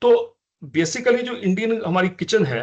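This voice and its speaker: With a Punjabi accent, a man speaks at a high pitch using lively intonation. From Punjab, India. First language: Punjabi (speaking Hindi). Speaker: ayurvedic physician. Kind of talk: lecture. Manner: halting, with frequent fillers.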